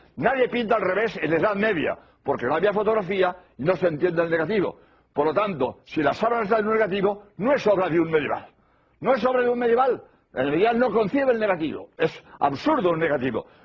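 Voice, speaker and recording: At a very fast pace, a man talks in a high pitch with lively intonation and very even loudness. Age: 80s+. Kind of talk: religious lecture.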